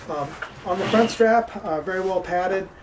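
Loud background noise sits behind the voice. A man speaks with ordinary pitch variation. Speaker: amateur radio hobbyist. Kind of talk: tutorial. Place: garden.

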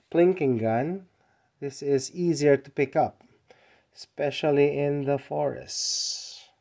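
Someone speaks at a very slow pace against a quiet background. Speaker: hobbyist vlogger. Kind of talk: casual product show-and-tell. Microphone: phone near.

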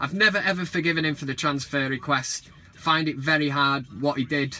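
Moderate pacing from a male speaker. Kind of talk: casual vlog chat. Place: car. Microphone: phone near.

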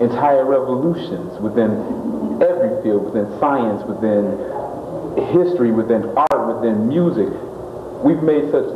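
Audible room echo and noticeable background noise surround this recording. A man talks at a fairly slow pace. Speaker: interviewee. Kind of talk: interview answer.

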